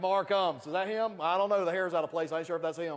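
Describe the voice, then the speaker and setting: Loud and animated, a man with a Southern US accent talks at a very fast pace in a high pitch. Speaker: network marketing leader. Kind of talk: motivational speech.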